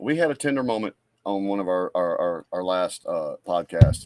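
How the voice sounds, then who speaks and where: A man's medium-pitched voice, dry and close with no echo. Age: 50s. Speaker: podcast co-host. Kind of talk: casual chat.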